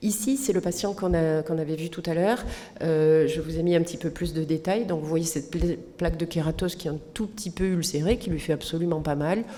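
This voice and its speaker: A woman speaks at a fairly quick pace, her fairly low pitch showing ordinary variation. Noticeable background noise and audible room echo fill the recording. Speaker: physician. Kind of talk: lecture.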